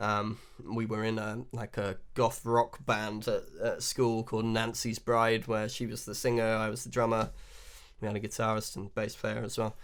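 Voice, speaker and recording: Here a man talks at medium pitch and a moderate pace in a monotone, flat intonation. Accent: southern English. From England, West Country (Wiltshire). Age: 30s. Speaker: blues harmonica player. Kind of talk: interview. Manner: hesitant, many fillers.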